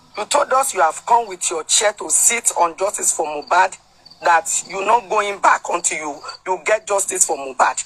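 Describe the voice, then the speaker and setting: There is a clear hum of background noise. The talking goes along at a middling speed. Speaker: participant in online discussion. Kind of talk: opinion submission in group call.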